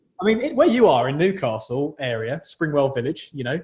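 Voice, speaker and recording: Here a man speaks with a southern English accent. His pitch is fairly high and his pace fairly quick. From southern England. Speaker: podcast host, journalism student. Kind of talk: casual chat.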